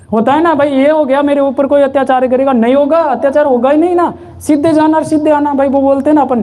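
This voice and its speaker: There is noticeable background noise as a man speaks at an extremely high pitch. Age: 30s. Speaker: spiritual satsang leader. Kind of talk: sermon.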